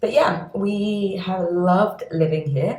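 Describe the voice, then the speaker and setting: A woman with a London accent speaks at a very slow pace in a somewhat breathy voice. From London, England. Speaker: doctor and skincare video creator. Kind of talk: casual vlog chat. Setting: at home in her apartment.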